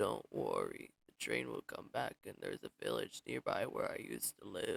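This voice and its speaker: A man puts on a raspy character voice at an extremely high pitch. He keeps a moderate pace. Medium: game stream. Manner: reassuring.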